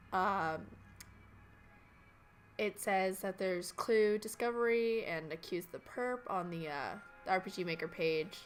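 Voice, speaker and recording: Music plays behind a woman speaking at a medium pitch. She uses ordinary pitch variation and takes long, frequent pauses. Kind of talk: let's play commentary.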